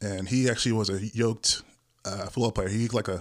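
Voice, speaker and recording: Very fast delivery with fairly even intonation. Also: man, very clean recording, silent background. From Hawaii (military family, also lived in Okinawa and California). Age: 30s. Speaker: bodybuilder and supplement store worker. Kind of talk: podcast interview.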